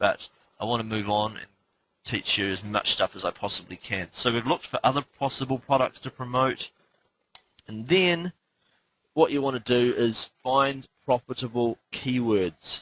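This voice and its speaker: Pausing long and often, a man speaks at a medium pitch with ordinary pitch variation in a dry, close sound with no echo. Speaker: online marketing teacher. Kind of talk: webinar tutorial. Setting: live webinar call. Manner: fast; frequent fillers (um, uh).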